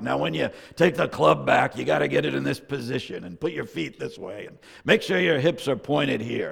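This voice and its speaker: Putting on a gruff character voice, a man speaks at a fairly quick pace around a medium pitch with very wide pitch swings. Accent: New England. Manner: gruff, instructive.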